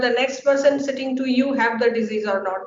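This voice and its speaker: Over noticeable background noise, a woman with a Bengali accent speaks at a fairly quick pace in a high-pitched voice with fairly even intonation. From India, Bengal. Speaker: scientist. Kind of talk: lecture. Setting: webinar. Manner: halting, many fillers.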